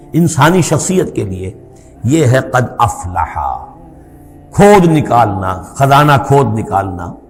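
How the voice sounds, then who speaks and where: Fairly high-pitched male voice with very wide pitch swings, music playing in the background. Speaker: Islamic scholar giving a religious lecture. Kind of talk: Islamic sermon (bayan), religious lecture.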